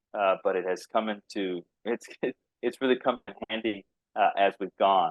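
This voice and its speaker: A man speaks with a slight Texas accent. His pace is moderate. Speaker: biotech company founder and CEO. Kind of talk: podcast interview.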